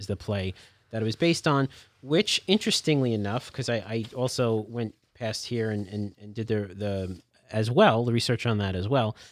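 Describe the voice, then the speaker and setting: The recording is very clean, with a silent background. A man with an unremarkable speaking voice talks at a medium pitch and a moderate pace, with ordinary pitch variation. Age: 40s. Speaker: library podcast host. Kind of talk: casual chat.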